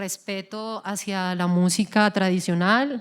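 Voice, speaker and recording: A woman at a very slow pace in a very clean recording with a silent background. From Colombian llanos (Yopal). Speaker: singer. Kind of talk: interview. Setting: stage with audience.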